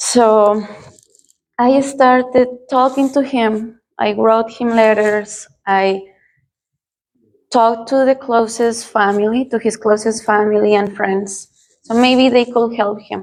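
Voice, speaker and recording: A woman's fairly high, monotone voice with flat intonation in a Spanish accent, very slow, with long, frequent pauses. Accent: non-native English, Spanish-speaking. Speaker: churchgoer giving testimony. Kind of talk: testimony. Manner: halting, with fillers.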